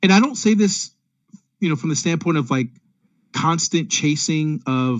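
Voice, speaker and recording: A man with a fairly high pitch speaks at a moderate pace with lively intonation. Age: 40s. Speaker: consultant and speaker. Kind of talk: virtual presentation. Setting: video call.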